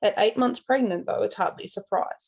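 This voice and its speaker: With an Australian accent, a woman is talking. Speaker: podfic reader. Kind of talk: reading aloud; casual intro.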